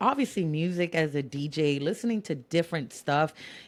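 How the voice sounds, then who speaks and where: A woman with a Spanish accent and a fairly low pitch speaks at a moderate pace in an animated tone with lively intonation, on a very clean recording with a silent background. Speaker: DJ. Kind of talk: casual chat. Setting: podcast recording.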